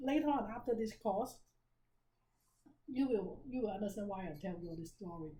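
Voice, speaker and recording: A woman with a dark, mellow, somewhat breathy tone speaks at a fairly high pitch and moderate pace. Her intonation is lively, with long, frequent pauses, big swings in loudness and audible room echo. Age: 60s. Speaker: business seminar teacher. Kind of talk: seminar lecture. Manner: conversational, interactive.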